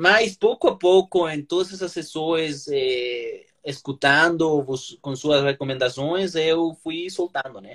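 A man at a very slow pace and fairly high pitch, with ordinary pitch variation and big swings in loudness, in a dry, close sound with no echo. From Colombia. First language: Spanish (speaking Portuguese). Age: 30s. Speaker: lawyer and language learner. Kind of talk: interview. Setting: Instagram live video call. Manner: halting.

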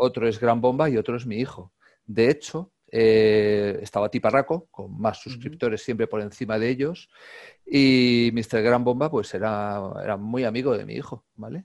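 Over a quiet background, a man with an ordinary speaking voice talks at a medium pitch and moderate pace with ordinary pitch variation. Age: 50s. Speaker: calisthenics YouTuber and gymnastics coach. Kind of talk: casual interview chat.

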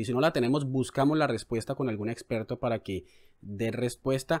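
A man's unremarkable speaking voice, medium in pitch with ordinary variation, at a fairly quick pace. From Colombia, Cali. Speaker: journalist and podcast co-host. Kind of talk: casual news discussion.

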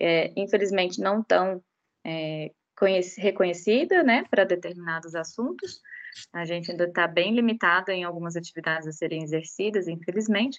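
A plain, everyday voice with ordinary pitch variation, moving at a moderate pace. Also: woman, fairly low pitch for a woman. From Brazil, Goiás, Rio Grande do Norte and Belo Horizonte. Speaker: animal science graduate, regulatory analyst. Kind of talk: casual interview.

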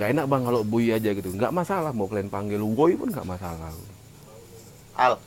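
Speaking at a fairly quick pace, a man of medium pitch uses lively intonation but leaves long, frequent pauses. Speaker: podcast co-host. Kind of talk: casual chat. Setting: coffee shop.

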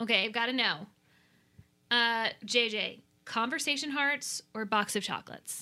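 On a very clean recording with a silent background, a woman with an American accent talks at a fairly slow pace with long, frequent pauses, her fairly high voice bright and sharp in tone. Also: ordinary pitch variation. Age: 20s. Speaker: podcast host. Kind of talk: casual chat. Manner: animated.

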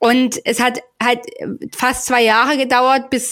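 A woman talks in a high voice. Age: 30s. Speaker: holistic women's health coach. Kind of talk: casual interview.

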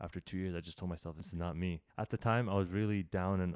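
In a very clean recording with a silent background and a dry, close sound with no echo, a man with a very deep, low pitch and a dark, mellow tone talks at a very fast pace with a Canadian accent and fairly even intonation. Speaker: podcast host. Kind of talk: casual interview chat. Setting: in-person at guest's home. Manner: halting, bounces between ideas.

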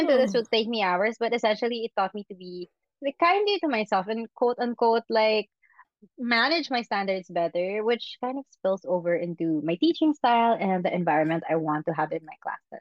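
Her pitch fairly high and swinging very widely, a woman speaks at a fairly quick pace. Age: 30s. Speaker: beauty editor and content creator. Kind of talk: casual chat. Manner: energetic.

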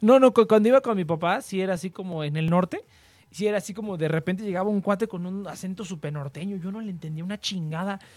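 A man's high-pitched voice with a Mexican accent at a very fast pace, ordinary pitch variation and big swings in loudness, on a very clean recording with a silent background. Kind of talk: casual chat. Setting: livestream. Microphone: far from the mic.

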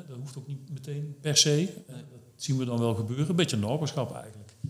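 A somewhat breathy man speaks at a very fast pace with ordinary pitch variation. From Netherlands, Brabant. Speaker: startup founder. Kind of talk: interview.

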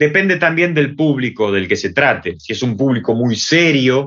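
With an Argentine accent, a man speaks at a fairly slow pace using ordinary pitch variation. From Argentina, Buenos Aires. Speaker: theatre and body expression teacher. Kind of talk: interview. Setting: video call.

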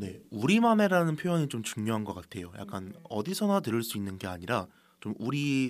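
A man's fairly quick, lively-intoned speech comes through on a very clean recording with a silent background. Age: 20s. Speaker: podcast co-host, college student. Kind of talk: casual chat. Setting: studio.

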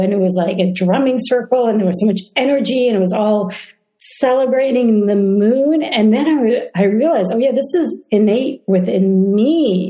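An ordinary speaking voice from a woman, fairly high in pitch, at a moderate pace with ordinary pitch variation. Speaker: interviewer, speaker series host. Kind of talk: interview conversation.

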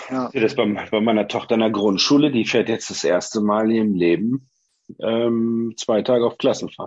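This man has a normal speaking voice at medium pitch. He talks at a moderate pace. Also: fairly even intonation. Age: 40s. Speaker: former teacher. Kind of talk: casual chat.

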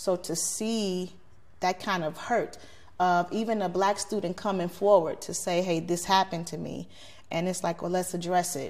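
A woman with an American accent at a medium pitch, monotone and flat in intonation, moderate in pace, in a very clean recording with a silent background. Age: 40s. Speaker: community activist, social media page admin. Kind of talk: podcast interview. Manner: outspoken.

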